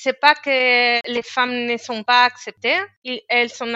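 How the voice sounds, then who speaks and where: Here a woman speaks with a Spanish accent. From Spain. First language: Spanish (speaking French). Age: 30s. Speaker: engineer. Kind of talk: interview. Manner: halting, many hesitations and repetitions.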